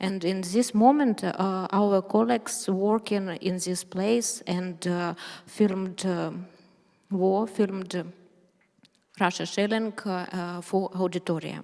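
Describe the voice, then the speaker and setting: A woman speaks very slowly in a Ukrainian accent. Her pitch is medium and her intonation fairly even. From Ukraine. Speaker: journalist. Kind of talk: speech. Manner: halting; reading aloud.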